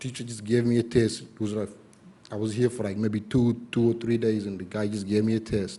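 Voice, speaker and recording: This man talks at a moderate pace in a fairly low pitch, his tone dark and mellow and his intonation flat and monotone. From East Africa, lived in Kenya, came to US as teen. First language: not English. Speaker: public commenter at school board meeting. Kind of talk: public comment speech. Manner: halting, many fillers.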